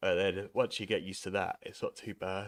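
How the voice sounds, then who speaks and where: A man is speaking. He has a southern English accent. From southern England, East Sussex. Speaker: sim racing streamer. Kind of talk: live stream chat while gaming. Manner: casual, rambling.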